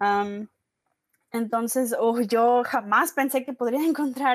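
Very slowly, a woman speaks at a fairly high pitch with ordinary pitch variation in a very clean recording with a silent background. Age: 20s. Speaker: linguistics student. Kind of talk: casual interview. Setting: after work.

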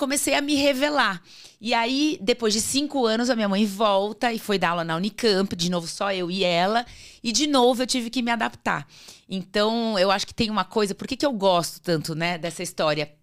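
Lively in intonation, a woman with a fairly high pitch talks at a moderate pace. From Brazil, São Paulo state interior and Natal. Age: 50s. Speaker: career speaker, former magazine colleague. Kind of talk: casual interview chat.

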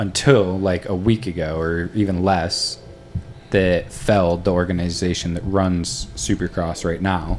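A man with an American accent speaks in a very deep, low pitch at a fairly slow pace. His intonation stays fairly even over noticeable background noise. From US East Coast. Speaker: podcast host. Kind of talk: casual interview.

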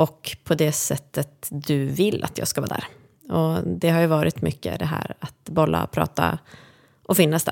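A woman with a very deep, low pitch, very wide pitch swings and vocal fry, at a fairly slow pace, in a dry, close sound with no echo. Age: 40s. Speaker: podcaster, friend and caregiver. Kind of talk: casual interview. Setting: studio.

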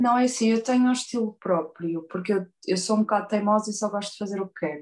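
Speaking in a European Portuguese accent, a woman keeps a medium pitch and fairly even intonation. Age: 30s. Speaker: tattoo artist. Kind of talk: interview.

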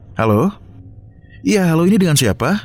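Music plays behind the speaker. He is a man with lively intonation. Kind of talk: horror story narration.

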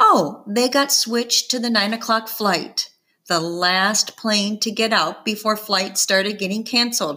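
Quiet background behind a natural reading voice.

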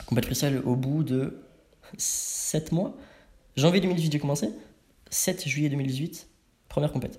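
Speaking at a fairly slow pace with long, frequent pauses, a man uses a fairly high, somewhat breathy voice, an animated tone and ordinary pitch variation. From Paris suburbs, France. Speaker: street workout athlete. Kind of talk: casual chat.

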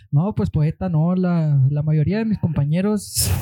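In a dry, close sound with no echo, a man speaks slowly in a fairly high voice with ordinary pitch variation. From Mexico, Chihuahua (Madera). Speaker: art student. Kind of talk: casual chat. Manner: relaxed. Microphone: too quiet, needs to be closer.

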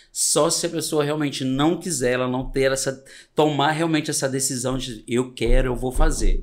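A man's unremarkable speaking voice, fairly high in pitch, at a moderate pace with fairly even intonation. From Brazil, Espírito Santo interior near Minas Gerais. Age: 40s. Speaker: makeup artist. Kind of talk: casual chat.

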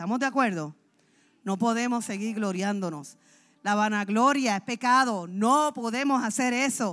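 At a fairly slow pace, a woman speaks with a fairly high pitch and ordinary pitch variation. Her tone is animated, and the recording is very clean with a silent background. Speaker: pastor. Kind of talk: sermon.

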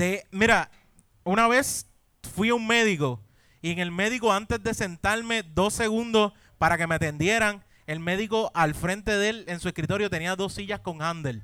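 A man's raised, projected voice, high in pitch with a bright, sharp tone, ordinary pitch variation and a moderate pace, on a very clean recording with a silent background. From Puerto Rico, Caguas. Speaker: podcast co-host. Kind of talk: live comedy podcast before audience. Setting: brewery stage with live audience.

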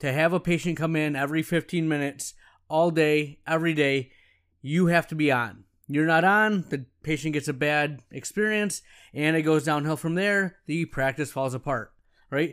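A man's fairly high voice at a moderate pace, with ordinary pitch variation. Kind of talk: solo podcast monologue. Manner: excited, animated.

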